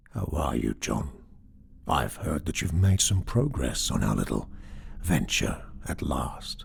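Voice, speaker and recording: Whispering in a put-on character voice, the speaker leaves long, frequent pauses while clear background noise carries on. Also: man, fairly slow pace. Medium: read story. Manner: sneering, mocking.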